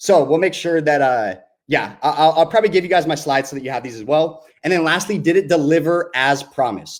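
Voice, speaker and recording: Animated tone at a fairly quick pace, with big swings in loudness and ordinary pitch variation. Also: man, fairly high pitch for a man. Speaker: email marketing copywriter, summit speaker. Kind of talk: webinar presentation. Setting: virtual summit online. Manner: fast.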